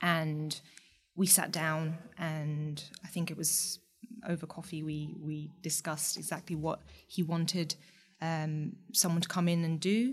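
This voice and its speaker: A woman talks at a fairly slow pace in a fairly low pitch. Her voice is somewhat breathy. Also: fairly even intonation. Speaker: startup co-founder. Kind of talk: casual interview chat.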